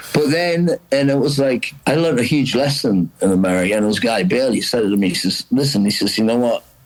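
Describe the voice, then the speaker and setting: A man speaks at a moderate pace with a medium pitch and lively intonation. Noticeable background noise runs under his voice. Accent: Geordie. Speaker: rock singer. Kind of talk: casual chat.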